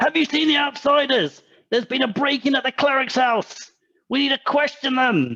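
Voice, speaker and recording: Using a put-on character voice, a man speaks at a moderate pace and an extremely high pitch. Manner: commanding, urgent.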